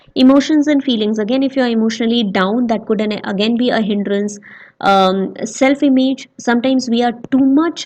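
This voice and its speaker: A woman with a fairly high pitch talks at a fairly quick pace, her intonation fairly even. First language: not English. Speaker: educational YouTuber teaching soft skills. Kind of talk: lecture. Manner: halting, many fillers.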